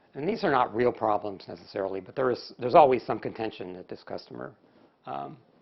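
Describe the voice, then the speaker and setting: A man speaks very fast at a medium pitch, with vocal fry, big swings in loudness and very wide swings in pitch. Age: 60s. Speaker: conference presenter on database performance. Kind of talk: technical conference presentation. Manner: casual with many fillers.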